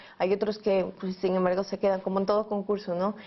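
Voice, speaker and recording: A woman in an Ecuadorian accent, medium in pitch, at a very fast pace. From Ecuador, Quito. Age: 20s. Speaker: journalist and filmmaker. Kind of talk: interview answer.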